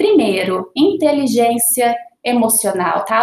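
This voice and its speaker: A woman speaks in a Paraná accent. Her pitch is high. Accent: Paraná interior, pronounced retroflex R. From interior of Paraná, Brazil. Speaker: organizational development analyst, psychologist. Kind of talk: casual panel conversation.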